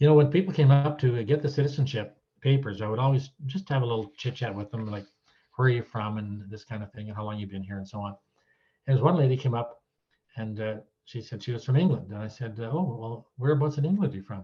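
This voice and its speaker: At a very fast pace, a man with a Canadian accent speaks at a medium pitch in a dark, mellow, somewhat breathy tone, with ordinary pitch variation and big swings in loudness. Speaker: retired citizenship judge. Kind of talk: talk to an audience, anecdotes. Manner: casual, hesitant with fillers.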